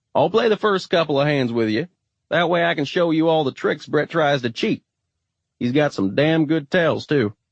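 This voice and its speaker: Putting on a gruff character voice, a man speaks at a moderate pace with a fairly high pitch, lively intonation and very even loudness. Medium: read story. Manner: dry, deadpan.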